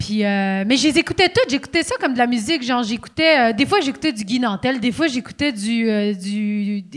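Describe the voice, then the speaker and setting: The speaker uses lively intonation at a fairly quick pace. There are hardly any pauses. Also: woman, high pitch for a woman. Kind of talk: casual chat. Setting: stage with audience.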